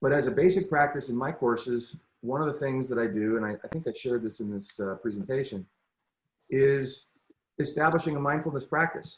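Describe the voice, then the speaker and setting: Somewhat breathy and fairly high-pitched, a man talks at a fairly quick pace with ordinary pitch variation. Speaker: teacher leading professional development. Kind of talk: presentation on a video call; guided meditation. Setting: video call.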